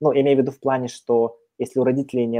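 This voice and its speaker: A man with a normal speaking voice talks at a medium pitch and a fairly quick pace. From Kazakhstan. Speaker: career consultant. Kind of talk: casual chat.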